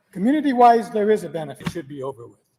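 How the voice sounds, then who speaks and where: Here a man is speaking. His intonation is lively. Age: 70s. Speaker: local taxpayer at public meeting. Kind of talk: public comment at school board meeting. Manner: unprepared, spontaneous.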